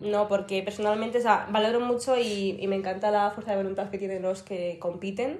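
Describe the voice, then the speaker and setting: Noticeable background noise sits behind a woman of medium pitch who talks at a fairly quick pace with fairly even intonation. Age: 20s. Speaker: fitness influencer and student. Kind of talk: interview.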